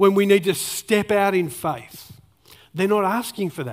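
A man speaks with an Australian accent. His pitch is high. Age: 40s. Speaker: pastor. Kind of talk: sermon. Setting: church.

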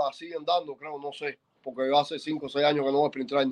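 A man's fairly high-pitched voice. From Cuba. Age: 50s. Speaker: former baseball pitcher and coach. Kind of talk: casual interview. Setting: at a friend's home. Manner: halting, repeats words.

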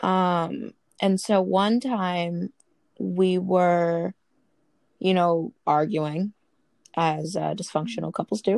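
Speaking at a very slow pace with long, frequent pauses, a woman with an American accent has a fairly low pitch and fairly even intonation in a dry, close sound with no echo. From US Northeast, Brooklyn. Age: 20s. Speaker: interviewee, survey respondent. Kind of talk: casual interview.

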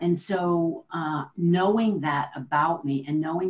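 A plain, everyday voice with an American accent moves at a fairly slow pace. Its pitch variation is ordinary. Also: woman. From New Jersey. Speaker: leadership consultant and entrepreneur. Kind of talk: interview.

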